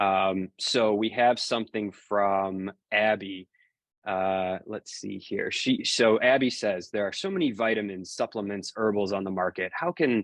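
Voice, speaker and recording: An unremarkable speaking voice moves at a fairly slow pace with fairly even intonation over a quiet background. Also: man. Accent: American. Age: 30s. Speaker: fitness coach and newsletter writer. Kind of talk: Q&A livestream monologue. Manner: casual with frequent fillers.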